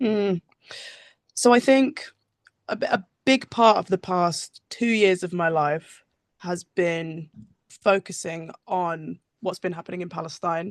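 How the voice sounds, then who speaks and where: A woman with a West Country accent speaks at a fairly slow pace and medium pitch. Long, frequent pauses break up her speech, and her pitch varies in an ordinary way. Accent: West Country English (Bristol). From England, Bristol. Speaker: musician. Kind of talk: casual interview. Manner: halting.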